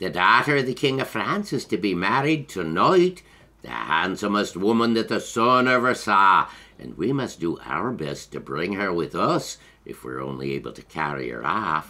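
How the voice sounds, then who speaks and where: Using a put-on character voice, a man speaks at a moderate pace and fairly low pitch with very wide pitch swings. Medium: read story.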